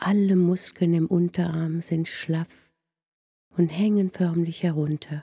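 Soothing in tone, this voice moves at a very slow pace with long, frequent pauses. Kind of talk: guided meditation. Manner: slow, hushed, soothing.

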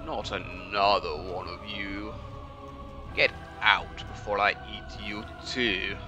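A man's put-on character voice, fairly low in pitch, at a fairly slow pace over loud background music. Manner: menacing, weary.

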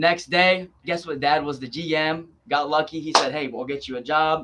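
A man's voice sits fairly high in pitch, bright and sharp in tone. Light background noise is present. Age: 20s. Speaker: sales trainer. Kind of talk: casual interview. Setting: remote call. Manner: animated. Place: office. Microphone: video call.

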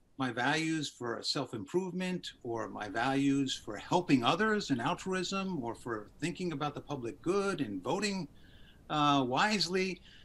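A man's fairly slow speech with very wide pitch swings. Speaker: podcast guest. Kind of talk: interview answer. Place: home room. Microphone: video call.

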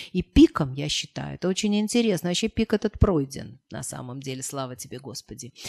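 Over a quiet background, a woman talks fairly quickly with hardly any pauses. Her voice is very deep and low, with vocal fry. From Moscow, Russia; Russia. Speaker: historian; guest. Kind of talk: interview talk. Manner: halting. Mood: warm, amused. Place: meeting room. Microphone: podium.

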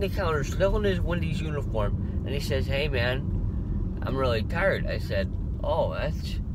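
This man's voice is dry with no echo, set against loud background noise. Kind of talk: casual vlog chat. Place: car.

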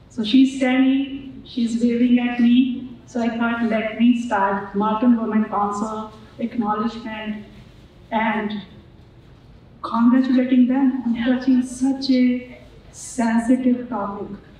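Speaking very slowly, a woman holds a high pitch in a flat, monotone delivery. Light background noise and strong room echo fill the recording. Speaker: keynote speaker. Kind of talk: speech. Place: hall.

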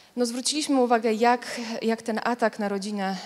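With a Polish accent, a woman talks at a fairly quick pace and with fairly even intonation. The background is quiet. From Szczecin, Poland; Poland. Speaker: debate moderator. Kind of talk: moderated panel debate. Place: hall. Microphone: handheld.

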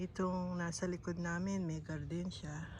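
A woman's fairly low, somewhat breathy voice at a moderate pace, with audible echo from the room. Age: old. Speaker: vlogger. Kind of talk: casual vlog narration. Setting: outdoors.

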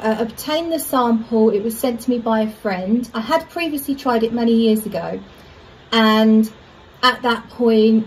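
Somewhat breathy, the voice moves at a moderate pace with fairly even intonation. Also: woman. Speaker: perfume reviewer. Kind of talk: casual vlog chat. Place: home room. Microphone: phone near.

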